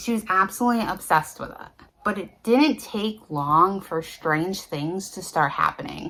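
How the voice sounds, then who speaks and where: A woman talks at a fairly slow pace in an unremarkable speaking voice with medium pitch. Her intonation is lively. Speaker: paranormal storyteller. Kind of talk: casual talk to camera. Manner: conversational.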